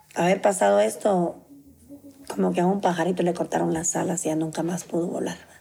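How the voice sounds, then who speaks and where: Fairly quick pace against noticeable background noise. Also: woman, fairly low pitch for a woman, lively intonation. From Guatemala, Zacapa. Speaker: bereaved mother, nanny. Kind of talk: testimony.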